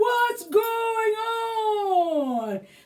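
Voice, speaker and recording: A woman puts on a character voice. It sits at an extremely high pitch. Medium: read story. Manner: slow, thoughtful.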